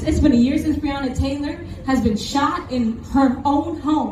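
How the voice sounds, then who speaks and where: Loud and animated, a woman speaks at a high pitch. Noticeable background noise and audible room echo fill the recording. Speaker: protest speaker. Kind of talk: rally speech.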